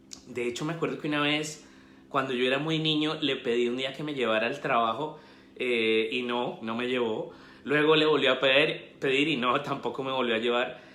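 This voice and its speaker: A man's medium-pitched voice with a Colombian accent, fairly even intonation and moderate pace, plus audible room echo. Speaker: investment educator and author. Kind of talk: live stream talk. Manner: halting, many fillers.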